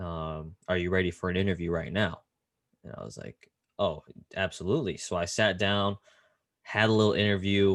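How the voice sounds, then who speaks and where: A man with a very deep, low voice uses ordinary pitch variation, big swings in loudness and long, frequent pauses. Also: moderate pace. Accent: American. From US West Coast, Silicon Valley, California. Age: 20s. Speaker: basketball assistant coach. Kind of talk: interview. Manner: casual, animated storytelling.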